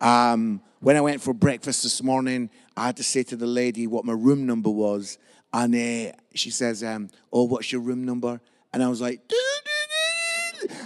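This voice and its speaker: A man's moderate-paced speech in a Scottish accent, with ordinary pitch variation. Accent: Scottish (Edinburgh area). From Scotland, Musselburgh near Edinburgh. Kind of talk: sermon.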